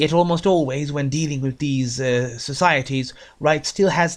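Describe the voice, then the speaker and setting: A man mumbles at a fairly high pitch, his intonation fairly even. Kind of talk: book review talk. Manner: mumbles a bit in places.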